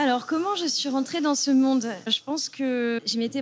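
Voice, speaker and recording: The speech moves at a moderate pace. It is a woman, and her pitch shifts in an ordinary way. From southern France, Mediterranean coast. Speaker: NGO communications officer. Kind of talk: interview conversation. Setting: café. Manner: halting, with fillers.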